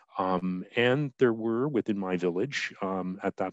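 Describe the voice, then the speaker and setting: A man with a Canadian accent speaks in a very deep, low pitch with ordinary pitch variation. The sound is dry and close with no echo, over a quiet background. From Canada, New Brunswick. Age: 60s. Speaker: clergy presenter. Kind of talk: webinar lecture. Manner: halting, many fillers.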